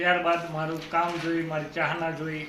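There is audible room echo and noticeable background noise. Through it, a man speaks in a fairly high pitch. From Gujarat, Kheda district. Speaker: local politician. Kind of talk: self-introduction statement. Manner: halting.

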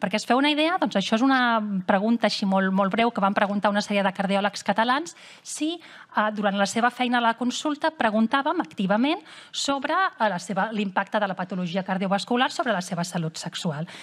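In an ordinary speaking voice, a woman talks at a fairly quick pace with a fairly high pitch over a quiet background. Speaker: cardiologist. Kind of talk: lecture. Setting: stage with audience. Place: hall.

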